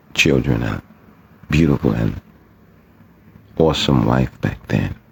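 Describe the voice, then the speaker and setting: A man's very deep, low pitch with ordinary pitch variation, at a fairly slow pace, over noticeable background noise. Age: 60s. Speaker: poet and writer. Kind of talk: personal testimony.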